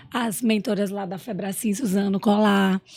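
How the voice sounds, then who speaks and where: A woman talks at a fairly slow pace. Her fairly high voice is somewhat breathy. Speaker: entrepreneur and emotional intelligence specialist. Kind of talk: podcast interview.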